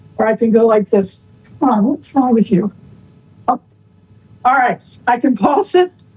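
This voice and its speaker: In a dry, close sound with no echo, a woman with a high pitch and lively intonation talks at a moderate pace with very even loudness and long, frequent pauses. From England. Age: 70s. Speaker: cooking product presenter. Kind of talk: product demonstration. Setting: video call. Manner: casual, chatty.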